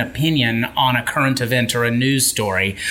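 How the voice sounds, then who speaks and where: Amid noticeable background noise, a man speaks at medium pitch and a moderate pace. His tone is animated and enthusiastic. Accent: American. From Memphis, Tennessee, US South. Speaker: author and keynote speaker. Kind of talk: casual interview chat. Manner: animated, enthusiastic.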